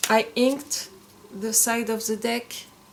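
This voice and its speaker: Very slowly, a woman speaks at a fairly high pitch. Background noise is noticeable. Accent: strong French. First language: French. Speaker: tarot content creator. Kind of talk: casual show-and-tell video. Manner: halting, with frequent fillers and restarts.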